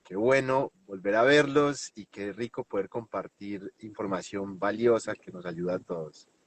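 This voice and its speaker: A man speaks with a Colombian paisa accent at a fairly slow pace. His pitch is fairly low, with ordinary variation. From Colombia, Medellín. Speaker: NLP trainer and hypnotherapist. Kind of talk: interview.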